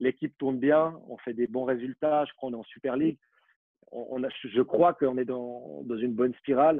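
This man has an unremarkable speaking voice, mid-pitched and fairly even in intonation, delivered at a moderate speed. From Switzerland, Vaud (Vallorbe). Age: 20s. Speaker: former professional footballer. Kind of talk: interview.

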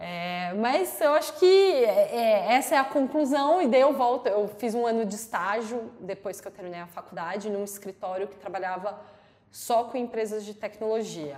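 Using a normal speaking voice, a woman with a fairly high pitch talks at a moderate pace with lively intonation and big swings in loudness. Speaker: lawyer. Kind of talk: interview. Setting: studio.

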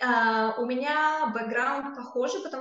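A high-pitched woman's voice at a fairly slow pace, with audible room echo. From Kazakhstan. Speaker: tech company employee. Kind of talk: interview.

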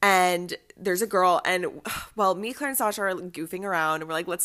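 The speaker has an animated tone, ordinary pitch variation and a moderate pace. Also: woman. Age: 20s. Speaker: college student and podcast co-host. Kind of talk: casual chat.

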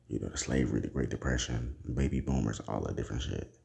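At a fairly quick pace, a man with a very deep, low voice talks as noticeable background noise continues. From United States. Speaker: podcast host. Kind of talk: casual solo monologue.

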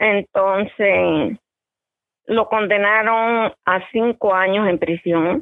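Delivery is very slow. Intonation stays fairly even. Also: woman, medium pitch for a woman. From eastern Cuba (Bayamo). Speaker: interview guest, caregiver. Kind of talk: casual interview.

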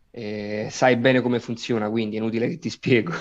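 A man speaks in a flat, monotone way. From Naples, Italy. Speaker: actor. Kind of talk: interview.

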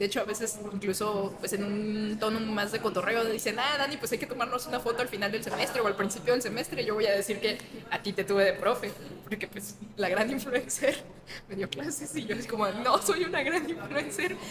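Noticeable background noise sits behind a woman. She talks at a fairly quick pace and fairly high pitch, with lively intonation. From Guadalajara, Jalisco, Mexico. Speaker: philosophy teacher and popularizer. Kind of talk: casual interview. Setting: in-person studio interview.

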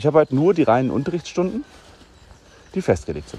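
A man's very fast delivery with vocal fry, a dark, mellow tone and very wide pitch swings. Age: 40s. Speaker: podcast host and teacher. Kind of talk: casual solo podcast monologue.

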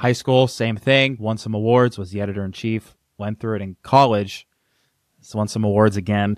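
Delivered in a plain, everyday voice at a moderate pace, the speech has fairly even intonation and a dry, close sound with no echo on a very clean recording with a silent background. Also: man. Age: 20s. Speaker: copywriter and business founder. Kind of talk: casual chat.

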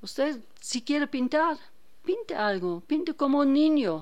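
A woman's high-pitched voice in a German accent, very slow in pace with very wide pitch swings. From Germany, Hannover. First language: German (speaking Spanish). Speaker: painter. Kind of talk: radio interview.

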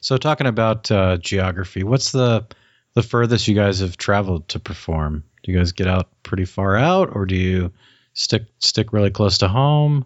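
A man talks with a normal speaking voice, fairly low in pitch. His pace is moderate, with ordinary pitch variation. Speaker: podcast host. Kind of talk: casual interview. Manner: chatty, joking.

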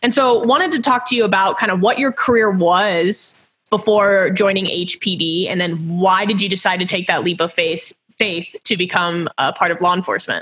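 A woman with an American accent speaks at a moderate pace with hardly any pauses, in an unremarkable speaking voice. Her pitch is medium with ordinary variation, and her loudness stays very even. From Houston, Texas. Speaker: podcast host. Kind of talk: interview.

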